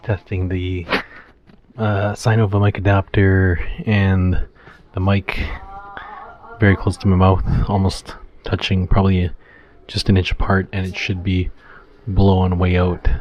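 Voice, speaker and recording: Fairly slow, monotone, flat speech with long, frequent pauses over noticeable background noise. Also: man, very deep, low pitch for a man. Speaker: motovlogger. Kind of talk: gear test vlog. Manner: casual with fillers.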